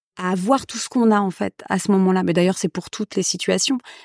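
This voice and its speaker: The recording is dry and close, with no echo. A woman talks. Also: very clean recording, silent background. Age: 40s. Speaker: actress and playwright. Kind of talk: casual chat.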